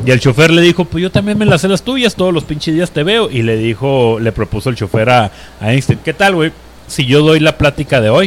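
Speaking at a fairly quick clip, this man has a fairly high pitch that swings very widely. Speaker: podcast host. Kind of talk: casual chat. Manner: animated.

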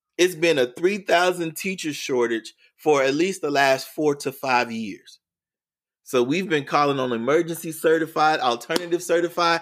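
In a very clean recording with a silent background, a man with an American accent speaks at a moderate pace and fairly high pitch, animated in tone, with ordinary pitch variation. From Oklahoma City, Oklahoma. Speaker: educator and workshop speaker. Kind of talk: casual interview conversation.

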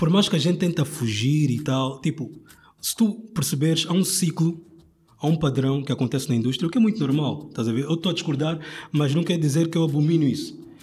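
A man speaks in an ordinary speaking voice at a fairly quick pace, with a fairly high pitch and ordinary pitch variation. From Angola (Luanda). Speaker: rapper and design student. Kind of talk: casual chat.

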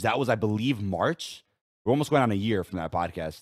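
In a very clean recording with a silent background, a man with an ordinary speaking voice and fairly low pitch talks at a moderate pace with lively intonation. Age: 20s. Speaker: gaming podcast host and content creator. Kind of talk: casual chat. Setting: studio.

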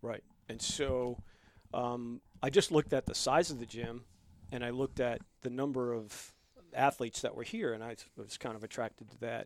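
A man with a New York accent and medium pitch, at a moderate pace, with big swings in loudness and long, frequent pauses. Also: fairly even intonation. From New York (Bronx, Long Island). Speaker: gym member, military veteran. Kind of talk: casual chat.

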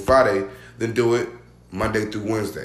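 Somewhat breathy, a man talks at a moderate pace. His intonation stays fairly even. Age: 20s. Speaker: podcast guest. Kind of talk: casual chat.

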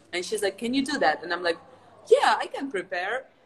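A woman's lively intonation comes through over noticeable background noise. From Ukraine. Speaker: martial artist and stunt actress. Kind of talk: casual chat.

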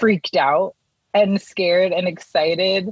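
A woman with an American accent and a plain, everyday voice speaks at a fairly slow pace with fairly even intonation. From Connecticut, US. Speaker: poet. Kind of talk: casual chat.

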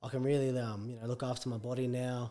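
A man talks at a fairly quick pace with an Australian accent. His pitch sits in the medium range. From Brisbane, Australia. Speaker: professional rugby league player. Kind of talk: casual interview.

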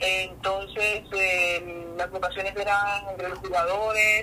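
A woman's fairly even intonation is heard with music in the background. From Colombia (Valle del Cauca) and Venezuela (Barinas). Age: 20s. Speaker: professional volleyball player. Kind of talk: interview.

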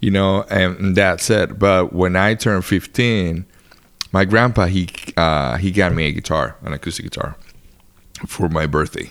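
With a Spanish accent, a man talks at a very deep, low pitch. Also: ordinary pitch variation, moderate pace. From Dominican Republic. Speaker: touring guitarist. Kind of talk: casual chat. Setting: at his home.

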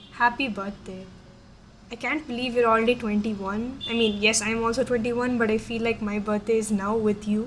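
Over noticeable background noise, a woman with a fairly high pitch speaks at a moderate pace in a monotone, flat intonation. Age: 20s. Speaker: student podcast co-host. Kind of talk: casual solo chat.

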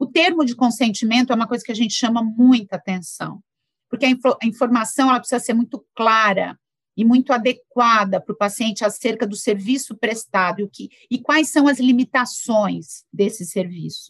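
An unremarkable speaking voice, a woman's, comes through fairly high-pitched at a moderate pace with ordinary pitch variation and a dry, close sound with no echo. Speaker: physician, endocrinologist. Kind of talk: interview discussion.

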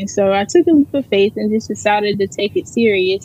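Using a normal speaking voice with an American accent, a woman talks at a moderate pace in a medium pitch with ordinary pitch variation. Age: 20s. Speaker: personal chef. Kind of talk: interview.

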